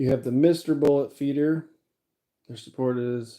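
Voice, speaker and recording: A man's dark, mellow voice at a fairly slow pace. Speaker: livestreamer reloading ammunition. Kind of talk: casual livestream chat. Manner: monotone.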